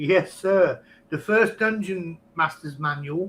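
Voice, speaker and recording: This man has an English accent and a high pitch. His tone is bright and sharp, and his pitch varies by an ordinary amount. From England. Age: 50s. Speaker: podcast guest, online game player. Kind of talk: casual chat.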